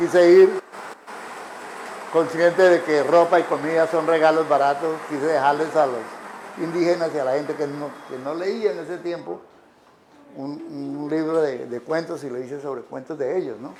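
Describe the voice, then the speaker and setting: Over noticeable background noise, a man with a fairly high pitch and fairly even intonation pauses long and often while his loudness swings widely. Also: moderate pace. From Colombia, Arauca. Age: 80s+. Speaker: writer. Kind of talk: public talk. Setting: café with live audience.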